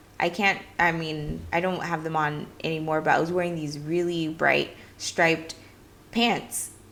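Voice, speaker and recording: Noticeable background noise surrounds a woman speaking at a fairly slow pace. Her pitch is fairly low and her tone is bubbly. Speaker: play coach and video creator. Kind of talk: casual talk to camera. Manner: loud and bubbly; animated.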